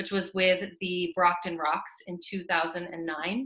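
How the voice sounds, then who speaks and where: A woman with a bright, sharp tone is heard with audible room echo against a quiet background. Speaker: moderator. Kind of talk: introduction of a guest speaker. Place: home room. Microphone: webcam.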